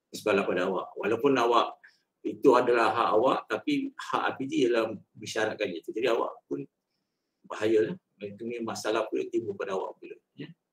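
Big swings in loudness at a moderate pace, with audible room echo. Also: man. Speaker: head of records and alumni unit. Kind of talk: briefing. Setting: video call. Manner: halting. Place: office. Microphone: video call.

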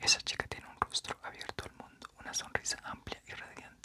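Soft-spoken and whispering, the voice moves at a fairly quick pace. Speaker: book reader. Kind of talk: audiobook reading. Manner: soft whispered book reading.

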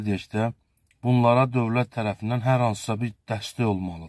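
A man speaks at a fairly slow pace. The sound is dry with no echo, and the background is quiet. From Azerbaijan. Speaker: local video blogger. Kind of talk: charity appeal to viewers. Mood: earnest, pleading. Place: car. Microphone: phone near.

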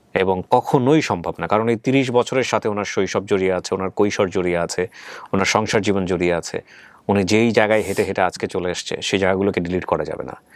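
A man speaks in a plain, everyday voice at a fairly low pitch. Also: ordinary pitch variation. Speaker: radio-style host of a family reunion show. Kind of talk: interview and moral commentary.

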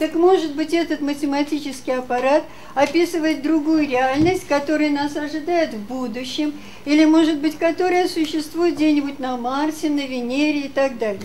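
Over light background noise, a woman speaks in a high voice at a moderate pace. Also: ordinary pitch variation. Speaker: audience member; conference presenter. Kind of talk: Q&A questioning. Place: hall.

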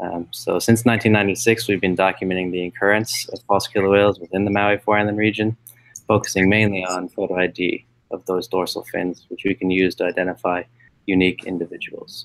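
A man with a low pitch speaks at a fairly quick pace, his voice showing little pitch movement.

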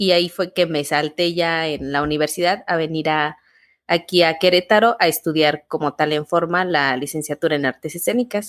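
With an unremarkable speaking voice, a woman talks at a moderate pace in a fairly low pitch with ordinary pitch variation. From Mexico, Guanajuato. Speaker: theatre artist and university teacher, podcast co-host. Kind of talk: casual interview conversation. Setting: remote call.

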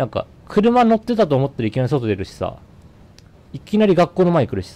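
The pitch swings very widely. A man delivers it all at a very fast pace. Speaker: game streamer. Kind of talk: gameplay commentary. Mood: nervous, curious. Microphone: studio mic.

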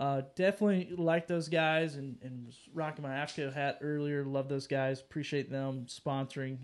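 Speaking at a moderate pace with an American accent, this voice runs on with hardly any pauses. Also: man. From North Carolina mountains. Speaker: podcast host. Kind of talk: casual chat. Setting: live stream. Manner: animated. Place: home room.

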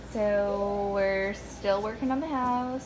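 A woman talks over noticeable background noise. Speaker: home renovator vlogger. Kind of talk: casual vlog chat. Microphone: phone near.

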